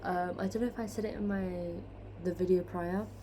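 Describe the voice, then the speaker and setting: This woman's voice sits fairly low, with ordinary pitch variation. Audible room echo surrounds it. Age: 20s. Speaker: vlogger. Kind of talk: casual chat. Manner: rambling, hesitant with many fillers.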